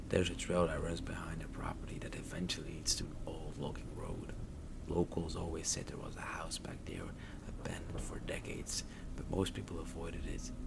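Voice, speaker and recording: Someone whispers at a fairly quick pace. Noticeable background noise is present. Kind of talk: horror story narration. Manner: soft-spoken.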